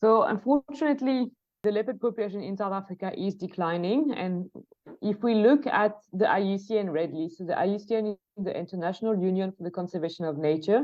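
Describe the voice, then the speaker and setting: A woman speaks at a fairly quick pace with a medium pitch. Her pitch varies in an ordinary way. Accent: French. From France. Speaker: leopard researcher, conservation project manager. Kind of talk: podcast interview. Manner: hesitant, many fillers and restarts.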